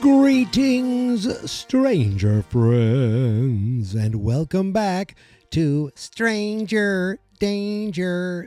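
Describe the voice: A put-on, robotic character voice at a middle pitch and a very slow pace, with very wide pitch swings, hardly any pauses, and faint music in the background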